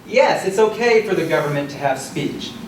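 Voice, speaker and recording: Amid noticeable background noise and audible room echo, a man talks at a fairly quick pace with lively intonation. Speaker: law professor debater. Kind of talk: debate speech. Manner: loud. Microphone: projecting without a working mic.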